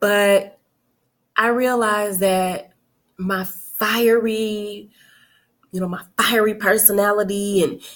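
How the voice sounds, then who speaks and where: Very slow and full of long, frequent pauses, a woman speaks at a medium pitch in a flat, monotone way. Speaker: self-help coach. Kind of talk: casual talk to camera. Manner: chatty, informal.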